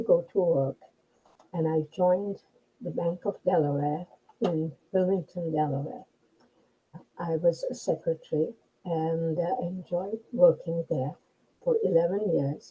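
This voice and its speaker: A somewhat breathy voice with a dark, mellow tone moves at a fairly slow pace. Its pitch varies in an ordinary way, with long, frequent pauses. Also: woman. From India. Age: 80s+. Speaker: retiree. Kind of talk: interview answer.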